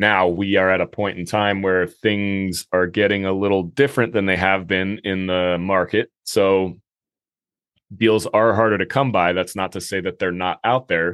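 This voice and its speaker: Very deep, low-pitched man at a moderate pace with fairly even intonation. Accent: American. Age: 30s. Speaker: real estate investing podcast host. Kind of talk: solo monologue podcast.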